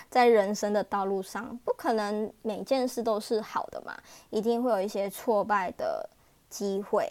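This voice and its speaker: The woman's pitch is fairly high and varies in an ordinary way. She talks at a fairly slow pace. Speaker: wedding planner and emcee. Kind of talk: casual monologue. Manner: animated.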